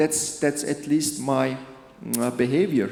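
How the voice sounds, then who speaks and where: A man's voice with noticeable background noise. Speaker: interventional cardiologist. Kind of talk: conference presentation. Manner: halting.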